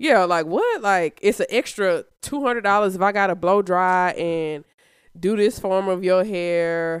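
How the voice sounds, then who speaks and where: The recording is very clean, with a silent background. A woman speaks fairly slowly at a medium pitch, with ordinary pitch variation. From Birmingham, Alabama. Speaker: co-host and social work student. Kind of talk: casual chat.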